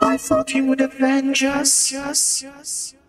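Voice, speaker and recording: A put-on character voice talks at a very slow pace. Faint music plays in the background. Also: female-sounding voice. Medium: actual play. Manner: repetitive, calling name over and over.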